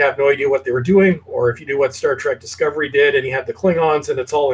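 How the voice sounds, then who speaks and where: This man's voice is somewhat breathy and fairly high. He speaks at a very fast pace with ordinary pitch variation. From Canada. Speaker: YouTube channel host. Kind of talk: casual chat. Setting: video call.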